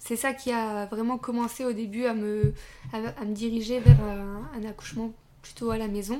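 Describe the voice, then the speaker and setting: A woman with a plain, everyday voice, fairly high-pitched, at a moderate pace, with big swings in loudness and fairly even intonation. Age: 20s. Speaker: young mother sharing birth story. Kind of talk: casual interview. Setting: at guest's home.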